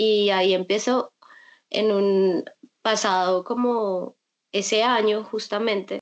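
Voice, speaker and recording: With a Bogotá accent, a woman speaks very slowly at medium pitch, her intonation monotone and flat, her loudness very even, and her pauses long and frequent. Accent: sounds like a Bogotá speaker. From Colombia, Bucaramanga (Santander). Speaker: visual artist, painter. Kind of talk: interview conversation.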